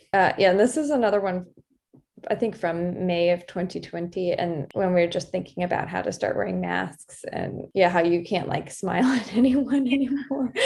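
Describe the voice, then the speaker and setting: This woman's voice sits at a medium pitch. She is soft-spoken, with lively intonation. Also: moderate pace. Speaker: doctor and illustrator. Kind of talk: casual interview talk.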